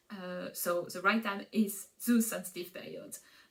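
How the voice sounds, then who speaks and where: A woman with a non-native accent speaks in a somewhat breathy voice. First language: not English. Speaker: Montessori educator, parenting vlogger. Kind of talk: educational explainer. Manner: hesitant, many filler sounds.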